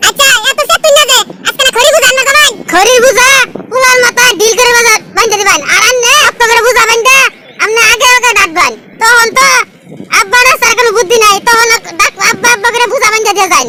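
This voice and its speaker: A woman puts on a character voice at an extremely high pitch, keeping her loudness very even. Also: fairly quick pace. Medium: voice reel. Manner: blunt, scolding.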